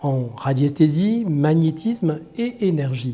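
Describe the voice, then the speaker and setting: Here a man speaks in a fairly high pitch. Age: 60s. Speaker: healer and trainer. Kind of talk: personal introduction monologue. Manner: hesitant, many fillers (euh).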